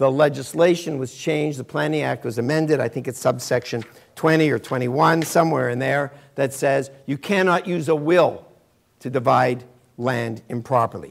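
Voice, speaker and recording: A man speaks with a Canadian accent. His pitch is fairly high, with ordinary variation. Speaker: lawyer lecturing on real estate law. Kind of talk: lecture. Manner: fast.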